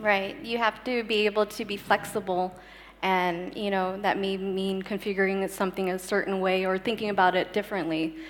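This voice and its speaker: In an American accent, a woman speaks at a moderate pace with fairly even intonation. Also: medium pitch for a woman. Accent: very American. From United States. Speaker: startup sales director. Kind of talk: panel discussion. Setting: stage with audience.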